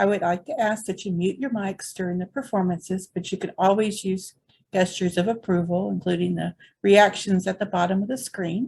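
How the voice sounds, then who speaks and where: Somewhat breathy, a woman talks at a fairly quick pace and a medium pitch. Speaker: poetry event host. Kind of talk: event hosting, welcome address.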